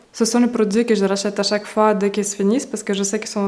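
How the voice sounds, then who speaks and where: In a monotone, flat intonation, a woman speaks at a medium pitch. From Russia. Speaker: beauty YouTuber. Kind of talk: casual talk to camera.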